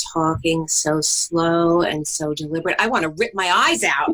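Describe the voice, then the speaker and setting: This is a woman speaking with a New York accent. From New York, Brooklyn. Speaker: co-host, spouse of host. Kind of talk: casual podcast conversation. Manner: fast.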